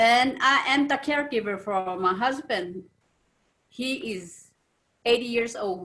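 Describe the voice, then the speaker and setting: A woman with a bright, sharp tone and fairly high pitch speaks at a fairly slow pace, leaving long, frequent pauses. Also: lively intonation. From Navajo Nation. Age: 70s. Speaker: family caregiver. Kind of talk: roundtable discussion.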